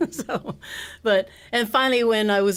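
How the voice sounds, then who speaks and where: The recording is very clean against a silent background. In it, a woman with an American accent talks using ordinary pitch variation. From Texas, San Antonio. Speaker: singer-songwriter. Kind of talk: interview. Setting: stage with audience. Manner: halting.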